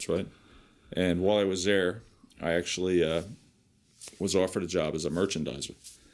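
With a New Jersey accent, a man speaks at a fairly quick pace in a very deep, low pitch, his intonation monotone and flat, broken by long, frequent pauses. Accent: New Jersey American. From New Jersey, Piscataway. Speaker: vocational teacher and former navy builder. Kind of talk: interview. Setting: recorded interview.

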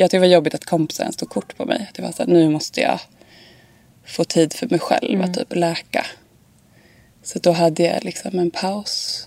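At a moderate pace, a woman speaks in a fairly low pitch with ordinary pitch variation and long, frequent pauses, the sound dry and close with no echo but noticeable background noise behind her. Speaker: fashion model. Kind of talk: casual interview.

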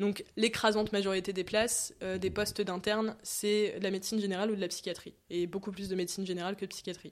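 A very fast woman's voice at medium pitch, monotone and flat, with hardly any pauses, in a very clean recording with a silent background. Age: 20s. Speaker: medical student. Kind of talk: casual interview.

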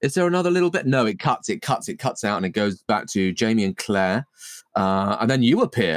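At a very fast pace, a man's medium-pitched voice sounds animated, with very wide pitch swings and a dry, close sound with no echo. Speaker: podcast co-host. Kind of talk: casual comedic chat. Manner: jokey, animated.

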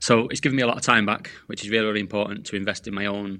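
The background is quiet. A man talks very fast in a bright, sharp tone. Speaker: sales coach. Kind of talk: podcast interview. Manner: animated.

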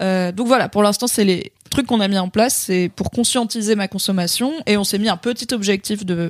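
Pauses are hardly there at all. The pace stays moderate. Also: woman, medium pitch for a woman. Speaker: podcast co-host. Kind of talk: casual chat. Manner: animated.

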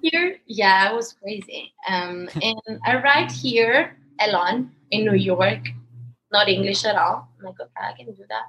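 A fairly high-pitched woman at a moderate pace, with very wide pitch swings. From Italy, Palermo. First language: Italian. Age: 20s. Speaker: dancer. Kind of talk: casual chat.

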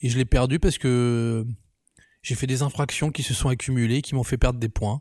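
The dark, mellow voice moves at a fairly quick pace with fairly even intonation, in a dry, close sound with no echo on a very clean recording with a silent background. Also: man. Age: 30s. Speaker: photographer and filmmaker. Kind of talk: casual personal testimony.

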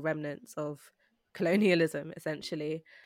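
A woman with a South London accent speaks at a moderate pace in a very deep, low pitch. The recording is very clean with a silent background and a dry, close sound with no echo. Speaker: producer and writer. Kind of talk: casual chat.

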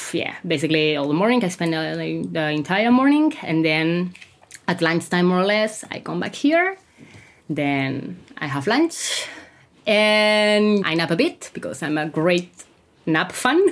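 With a Catalan accent, a woman speaks at a fairly slow pace in a fairly low pitch, her intonation lively. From Catalonia, Spain. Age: 30s. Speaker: language teacher and mental health activist. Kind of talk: interview testimony.

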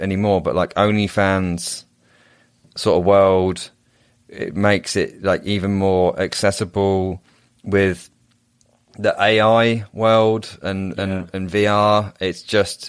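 A man with an English accent speaks very slowly at a fairly low pitch with monotone, flat intonation and long, frequent pauses on a very clean recording with a silent background. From England. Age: 30s. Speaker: men's coach and entrepreneur. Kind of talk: casual interview chat.

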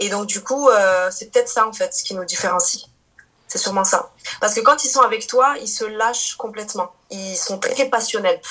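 This woman's fairly high voice has ordinary pitch variation and swings widely in loudness. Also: moderate pace. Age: 30s. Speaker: Portuguese teacher and YouTuber. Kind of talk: casual interview. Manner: hesitant, many fillers.

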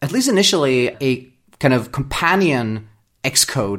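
In a very clean recording with a silent background, a man with a Swedish accent speaks with lively intonation. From Sweden. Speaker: software developer. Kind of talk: interview.

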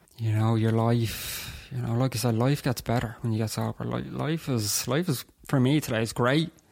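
Speaking in a Dublin accent, a man holds a moderate pace at a medium pitch with ordinary pitch variation. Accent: Dublin Irish. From Dublin, Ireland (Terenure). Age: 20s. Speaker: person in alcohol recovery. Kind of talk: testimony in interview.

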